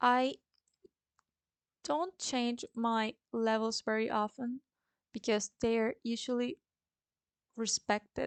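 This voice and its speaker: A woman with a Spanish accent, fairly high in pitch, at a very slow pace with fairly even intonation, in a dry, close sound with no echo. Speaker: forex trader and trading educator. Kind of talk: tutorial.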